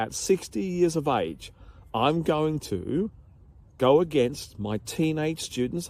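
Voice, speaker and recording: An Australian accent with vocal fry, very wide pitch swings and a dark, mellow tone. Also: man. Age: 50s. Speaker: health and physical education teacher. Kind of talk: casual vlog talk to camera. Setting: outdoors in a park.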